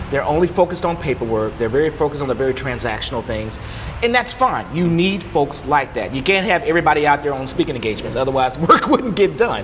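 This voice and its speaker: Amid noticeable background noise, a man talks at a very fast pace with a fairly high pitch and very wide pitch swings. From Louisiana. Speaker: HR professional. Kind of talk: podcast interview. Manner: animated.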